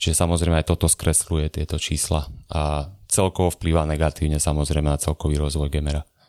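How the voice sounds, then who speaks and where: A man with a very deep, low pitch and a dark, mellow tone speaks very fast in a monotone, flat intonation, with dry, close sound and no echo. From Gemer region, Slovakia (near Rožňava). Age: 20s. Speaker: economics podcaster and video maker. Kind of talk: casual chat.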